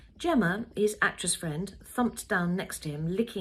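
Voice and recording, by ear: A natural voice reading aloud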